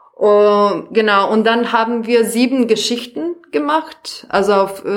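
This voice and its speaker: A woman speaks in a Serbian accent at a fairly slow pace. Her pitch is fairly high and her intonation lively. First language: Serbian (speaking German). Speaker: actress and theatre educator. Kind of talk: casual chat. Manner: halting.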